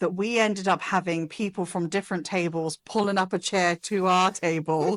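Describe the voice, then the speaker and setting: The speaker has an English accent and moves at a fairly slow pace. The background is quiet. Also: woman. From England. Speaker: spouse of an employee. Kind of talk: casual interview. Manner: animated.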